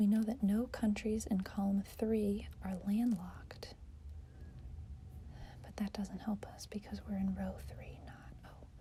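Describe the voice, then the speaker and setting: A soft-spoken woman talks at a fairly slow pace against noticeable background noise. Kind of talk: ASMR soft-spoken puzzle-solving talk to camera. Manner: soft-spoken, quiet, thinking aloud.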